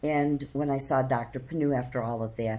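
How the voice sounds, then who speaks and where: A woman's dark, mellow tone with vocal fry and fairly even intonation. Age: 60s. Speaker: patient. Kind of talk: testimony.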